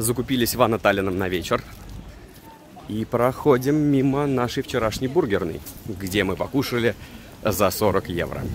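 Over light background noise, a man with a medium pitch and ordinary pitch variation talks at a moderate pace with long, frequent pauses, in a dry sound with no echo. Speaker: travel vlogger. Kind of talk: casual travel vlog narration. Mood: ironic, joking. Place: street. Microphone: phone near.

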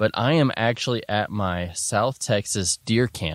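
With a normal speaking voice, a man talks at a moderate pace and a fairly low pitch, recorded with dry sound, no echo, and a quiet background. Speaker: podcast host. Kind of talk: casual podcast monologue. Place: open country.

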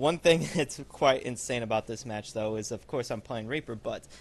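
Using a normal speaking voice, a man talks at a medium pitch and a fairly quick pace. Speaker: gaming YouTuber. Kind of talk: gameplay commentary. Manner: casual, uses fillers like um and uh.

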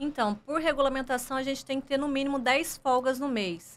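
A woman is speaking. Her pitch is high. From Brazil, Goiás (Goiânia). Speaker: airline pilot; guest. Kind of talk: interview. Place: studio. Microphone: studio mic.

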